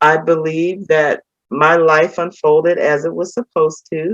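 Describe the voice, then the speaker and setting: This woman has an ordinary speaking voice. Her pace is fairly slow. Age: 60s. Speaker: former pastor's wife, retiree. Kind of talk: interview, personal testimony. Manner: casual, conversational with many fillers.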